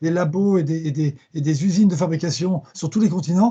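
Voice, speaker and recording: Speaking at a moderate pace, a man with a high-pitched voice has a dark, mellow tone and ordinary pitch variation. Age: 60s. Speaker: fintech company chairman. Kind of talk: conference talk. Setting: video call. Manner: halting, many repetitions and fillers.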